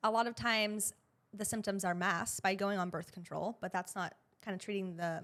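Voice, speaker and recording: With a normal speaking voice, a woman talks at a medium pitch and a fairly quick pace, her intonation fairly even, on a very clean recording with a silent background. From US Northeast, Boston area. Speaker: pelvic floor physical therapist. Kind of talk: podcast interview. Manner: casual, conversational.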